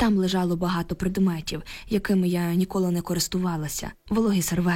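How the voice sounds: Reading in a natural voice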